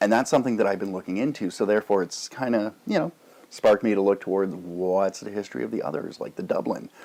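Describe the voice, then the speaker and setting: This man has a Canadian accent. He talks at a very fast pace. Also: fairly low pitch for a man, ordinary pitch variation. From Canada. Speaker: YouTube pipe tobacco reviewer. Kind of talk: casual vlog monologue. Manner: rambling, filler-heavy.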